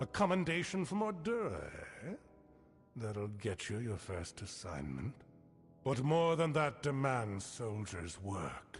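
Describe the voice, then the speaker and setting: Clear music plays behind a man doing a put-on character voice at a medium pitch. His pitch swings very widely, and he leaves long, frequent pauses. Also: fairly slow pace. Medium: video game. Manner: stern, formal, measured.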